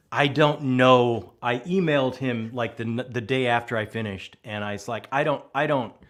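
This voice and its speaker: A man speaks at a medium pitch with ordinary pitch variation. His pace is moderate, with hardly any pauses. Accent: American. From Texas, small town. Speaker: booktuber with theater background. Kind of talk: casual chat. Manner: animated.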